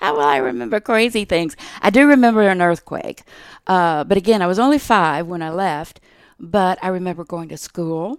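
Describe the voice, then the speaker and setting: A woman with an American accent speaks at a moderate pace and a fairly low pitch, her intonation lively and her loudness swinging widely. The recording is very clean, with a silent background. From Texas. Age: 60s. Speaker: retired state legislator. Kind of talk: interview conversation.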